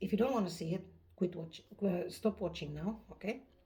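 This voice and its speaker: The woman's voice is fairly low-pitched, with a dark, mellow tone and vocal fry. She speaks at a fairly slow pace. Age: 50s. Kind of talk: casual talk to camera.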